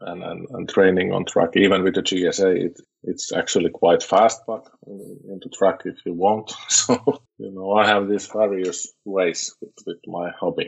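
With a Finnish accent, a man speaks fairly slowly at a fairly low pitch. His intonation is fairly even, and his loudness swings widely. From Finland. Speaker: motorcycle club president. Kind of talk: interview. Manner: halting, with many repeated words.

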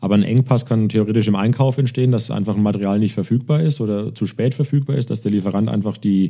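Very fast speech comes from a man at medium pitch with a dark, mellow tone. His pitch varies in an ordinary way. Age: 40s. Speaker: logistics executive. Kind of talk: interview. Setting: in person. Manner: halting.

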